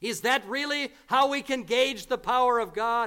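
A man's bright, sharp, raised and projected voice, extremely high in pitch, at a fairly slow pace. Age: 40s. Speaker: visiting preacher. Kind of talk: sermon. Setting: church.

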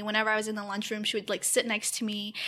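A woman speaks very fast with an American accent and a fairly high pitch. Noticeable background noise runs under her voice. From Detroit area, Michigan. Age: 20s. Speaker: podcast co-host, grad student.

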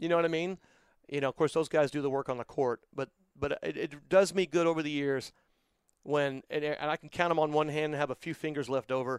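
In a very clean recording with a silent background and a dry, close sound with no echo, a man speaks at a fairly quick pace in an animated, upbeat tone with a fairly high pitch. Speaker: PA announcer. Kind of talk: casual interview chat. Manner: animated, humorous, upbeat.

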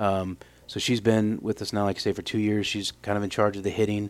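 Monotone and flat, a man with a fairly low voice and an American accent speaks at a fairly quick pace. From Illinois, US Midwest. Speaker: college softball head coach. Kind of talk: interview. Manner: hesitant, many fillers.

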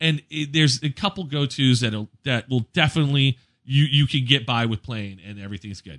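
An unremarkable speaking voice from a man of medium pitch comes at a fairly quick pace, swinging widely in loudness over a quiet background. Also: ordinary pitch variation. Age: 40s. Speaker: podcast co-host and DJ. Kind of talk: casual chat.

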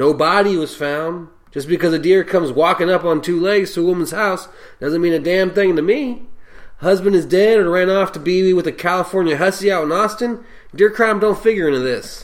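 A man does a gruff, put-on character voice at a high pitch and a fairly quick pace. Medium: audio drama. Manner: gruff, crude, sarcastic.

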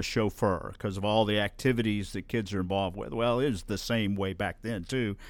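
A fairly low-pitched man speaks at a moderate pace with fairly even intonation. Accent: Southern US. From Alabama (Birmingham area). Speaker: guest sharing life story. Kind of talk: interview testimony. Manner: halting, many fillers.

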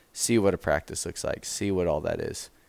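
Speaking at a moderate pace, a man with an American accent is heard in a very clean recording with a silent background. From Spokane, Washington (US Pacific Northwest). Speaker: wrestling coach. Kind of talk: casual interview. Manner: halting, filler-heavy.

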